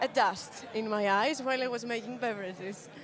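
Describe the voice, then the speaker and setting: Over crowd noise and audible room echo, a woman with a non-native accent speaks at a high pitch with ordinary pitch variation. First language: not English. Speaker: barista competition finalist. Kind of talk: interview. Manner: halting.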